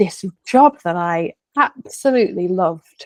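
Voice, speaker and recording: Speaking with a Lancashire accent, a woman uses lively intonation at a medium pitch and a moderate pace, the sound dry and close with no echo. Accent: Bolton. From northern England, Bolton. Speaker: coach. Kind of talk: interview conversation. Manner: hesitant fillers, conversational.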